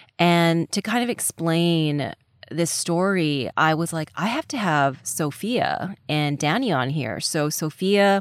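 A woman speaks in a very deep, low pitch with ordinary pitch variation, in a dry, close sound with no echo. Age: 30s. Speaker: podcast host. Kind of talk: casual chat. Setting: home closet, remote recording.

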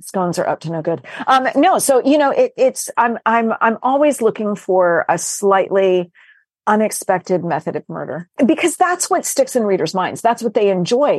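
A woman with a fairly high pitch speaks at a moderate pace with very wide pitch swings. The sound is dry and close with no echo, over a quiet background. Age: 50s. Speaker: novelist. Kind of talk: casual chat.

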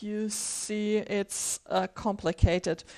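Speaking at a medium pitch with a German accent, a woman talks very slowly with fairly even intonation on a very clean recording with a silent background. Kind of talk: casual chat.

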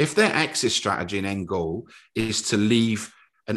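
Over a quiet background, a man with a Cardiff accent speaks at a moderate pace and medium pitch in an animated, passionate tone with ordinary pitch variation. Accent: Cardiff Welsh. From Wales, Cardiff (Ely council estate). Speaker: former footballer and club executive, bidder for a club. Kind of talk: casual interview.

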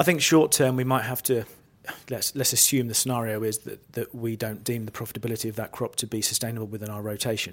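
In an East Anglian accent, a man talks at a very fast pace with medium pitch and fairly even intonation. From Norfolk, England. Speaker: farm managing director. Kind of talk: casual interview.

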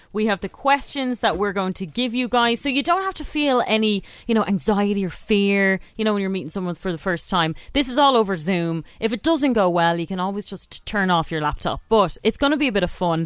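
A woman with an Irish accent speaks at a fairly quick pace with hardly any pauses. Her medium-pitched voice has lively intonation. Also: very clean recording, silent background. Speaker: radio host. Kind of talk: casual chat. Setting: studio.

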